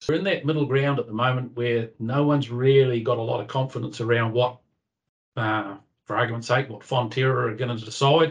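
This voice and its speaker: A somewhat breathy man with a New Zealand accent, at a fairly quick pace. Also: medium pitch for a man, fairly even intonation. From New Zealand, North Island. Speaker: livestock breeding coordinator, former dairy farmer. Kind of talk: interview.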